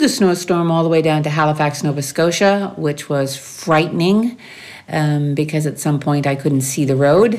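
In a Maritime Canadian accent, a woman speaks at a very deep, low pitch with ordinary pitch variation. Audible room echo surrounds her voice. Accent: Canadian (Maritimes) English. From New Brunswick, Canada. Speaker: expat interviewee. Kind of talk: interview.

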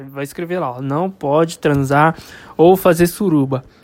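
The man speaks at a fairly slow pace. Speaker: podcaster. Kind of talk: casual monologue. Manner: laughing; hesitant.

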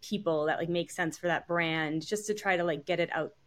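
This woman has an unremarkable speaking voice, fairly low in pitch, with an American accent. She talks at a moderate pace on a very clean recording with a silent background. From Long Island, New York (North Fork). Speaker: brand marketing manager. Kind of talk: interview.

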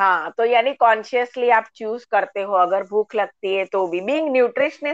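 The sound is dry and close with no echo as a woman speaks with ordinary pitch variation. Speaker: talk show host. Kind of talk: online interview. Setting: live online session.

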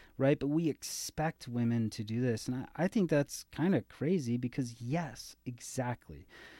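In a very clean recording with a silent background and a dry, close sound with no echo, a man speaks at medium pitch in a dark, mellow tone. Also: ordinary pitch variation, moderate pace, hardly any pauses. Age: 30s. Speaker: physician. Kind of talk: casual chat.

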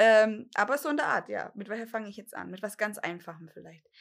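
The voice belongs to a woman with a fairly high pitch and vocal fry, speaking at a moderate pace with ordinary pitch variation. The recording is very clean, with a silent background. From Bavarian Swabia, Germany (Dillingen an der Donau). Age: 30s. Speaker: podcast co-host, lab test engineer. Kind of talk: casual chat. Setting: home, garden table.

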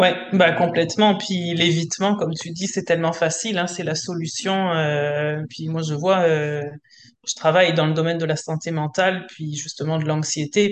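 A woman with an unremarkable speaking voice and a fairly low pitch keeps a moderate pace and fairly even intonation. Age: 40s. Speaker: entrepreneur, coaching client. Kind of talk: casual chat.

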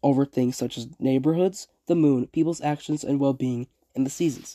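A man speaks in a plain, everyday voice, fairly high for a man. His pace is fairly quick, with ordinary pitch variation. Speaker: poetry podcaster. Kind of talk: poem reading aloud, measured and literary, between analysis. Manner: formal, earnest.

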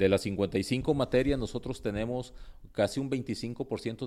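A man with a dark, mellow tone talks fairly slowly in a very clean recording where the background is silent. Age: 50s. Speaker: pastor and seminary dean. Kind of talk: interview. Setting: seminary.

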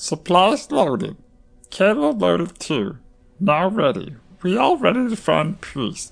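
In a put-on character voice at middle pitch, the speaker goes at a fairly slow pace. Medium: audio drama. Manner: broken, simplified speech, refers to self in third person.

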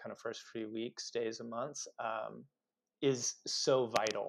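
With a Californian accent, a man talks fairly slowly at a medium pitch and fairly even intonation against a quiet background. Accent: General American (Californian). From US West Coast (Los Angeles). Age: 40s. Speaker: chiropractor and podcast host, guest. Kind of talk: casual interview.

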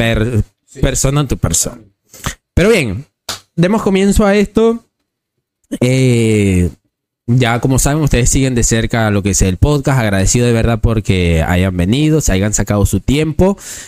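At a fairly slow pace with long, frequent pauses, a man's medium-pitched voice makes very wide pitch swings, the sound dry and close with no echo. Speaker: podcast host. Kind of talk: casual interview. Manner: talkative.

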